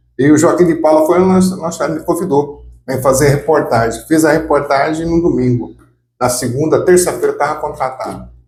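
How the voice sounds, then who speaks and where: A man's somewhat breathy voice, fairly high in pitch, with ordinary pitch variation, a moderate pace and audible echo from the room. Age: 60s. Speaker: former mayor and radio reporter. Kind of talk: life story interview. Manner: casual, halting with repetitions.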